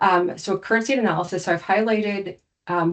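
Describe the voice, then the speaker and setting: Here a woman talks at a fairly quick pace. Her intonation is fairly even. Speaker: cybersecurity compliance consultant. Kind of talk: webinar presentation. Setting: online webinar with screen share. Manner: fast.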